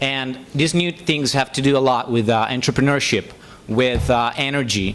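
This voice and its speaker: A man speaks at medium pitch with an Italian accent. His pace is moderate. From Italy. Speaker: software engineer. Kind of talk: public speech. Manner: halting, many fillers.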